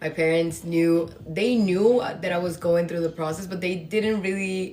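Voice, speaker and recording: Over music in the background, a woman speaks at a moderate pace in a medium pitch, with ordinary pitch variation. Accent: Spanish. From Dominican Republic. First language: Spanish. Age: 20s. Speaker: podcast host. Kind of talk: casual storytelling monologue. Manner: casual with many fillers.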